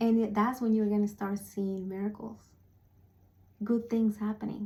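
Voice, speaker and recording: A woman's fairly high, somewhat breathy voice with a non-native accent, a dark, mellow tone and monotone, flat intonation. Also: moderate pace. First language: not English. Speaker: spiritual speaker / vlogger. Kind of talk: motivational talk to camera. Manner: halting, with fillers.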